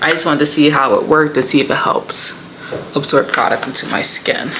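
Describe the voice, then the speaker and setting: A woman speaks at a very deep, low pitch. Noticeable background noise and audible room echo surround her. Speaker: beauty vlogger. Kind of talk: casual vlog haul. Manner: animated.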